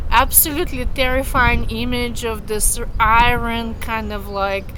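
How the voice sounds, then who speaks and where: A woman speaks with a Russian accent, and audible room echo surrounds her voice. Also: fairly slow pace. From Russia, Moscow. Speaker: vlogger. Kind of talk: personal storytelling. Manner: casual, many fillers.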